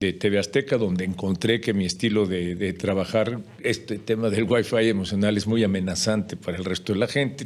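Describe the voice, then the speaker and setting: Talking at a fairly quick pace, a man speaks with a Mexican accent at a fairly low pitch. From Mexico. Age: 60s. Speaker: journalist and speaker. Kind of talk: podcast interview.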